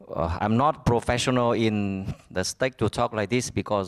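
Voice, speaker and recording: A man with a Vietnamese accent talks at a medium pitch and a fairly quick pace. The sound is dry and close, with no echo. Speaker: business owner. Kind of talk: conference speech. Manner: halting.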